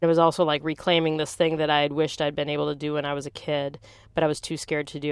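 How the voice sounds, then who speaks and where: A woman with an American accent and a very deep, low pitch speaks in monotone, flat intonation, recorded very cleanly against a silent background. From US Midwest, Green Bay, Wisconsin. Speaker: skateboarder and comedian. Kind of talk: personal narrative interview monologue.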